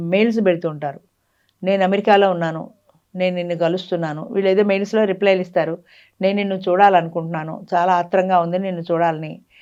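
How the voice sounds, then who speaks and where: This woman's voice has a dark, mellow tone. It sits at a medium pitch. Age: 70s. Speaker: social counsellor. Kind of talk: interview. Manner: animated.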